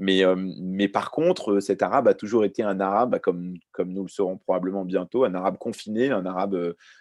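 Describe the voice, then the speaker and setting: A man with an unremarkable speaking voice talks at a moderate pace and a fairly low pitch with ordinary pitch variation. The sound is dry and close with no echo, over a quiet background. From Lebanon, raised in France from age 4. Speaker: journalist and author. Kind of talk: round-table talk.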